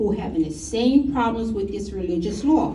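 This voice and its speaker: A woman talks at a moderate pace. Audible room echo is around her voice. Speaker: resident speaking at public comment. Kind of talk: public comment at town meeting. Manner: halting. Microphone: too far from microphone at first.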